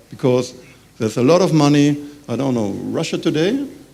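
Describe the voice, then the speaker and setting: The voice has a dark, mellow tone and ordinary pitch variation. It moves at a moderate pace, with audible room echo. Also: man. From Germany. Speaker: business representative. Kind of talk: conference panel talk. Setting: conference with audience. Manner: halting.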